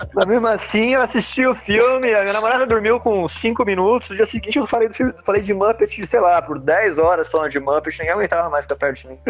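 Against noticeable background noise, a man with a high pitch and lively intonation talks at a very fast pace with hardly any pauses. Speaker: comics artist and illustrator. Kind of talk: casual chat.

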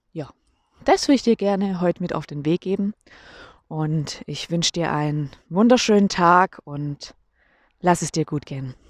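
In a dry, close sound with no echo, a woman with a fairly low pitch speaks at a moderate pace and ordinary pitch variation. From Germany. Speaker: podcaster. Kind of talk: casual monologue. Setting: outdoors on a walk. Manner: casual, with fillers.

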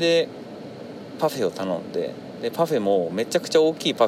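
Fairly quick speech from a man over noticeable background noise. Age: 30s. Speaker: podcaster. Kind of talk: solo monologue. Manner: halting, many fillers.

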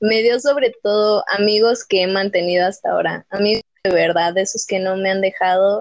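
Her voice is an ordinary speaking voice, pitched medium for a woman. She talks fairly slowly with ordinary pitch variation. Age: young. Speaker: podcast guest. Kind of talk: personal testimony.

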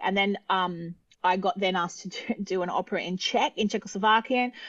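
The speaker is a woman with an Australian accent. Her pitch is medium. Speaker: opera singer. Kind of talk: casual chat. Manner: animated.

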